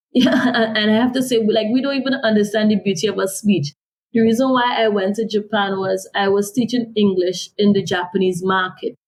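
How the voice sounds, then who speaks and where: A woman's fairly high, somewhat breathy voice with ordinary pitch variation, a Caribbean accent and a fairly quick pace. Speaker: author and development consultant. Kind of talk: interview.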